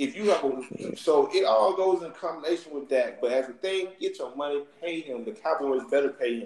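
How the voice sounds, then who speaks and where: With an American accent, a man in a fairly high pitch talks with hardly any pauses over noticeable background noise. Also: lively intonation, moderate pace. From US South. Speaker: sports podcast host. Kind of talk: casual chat.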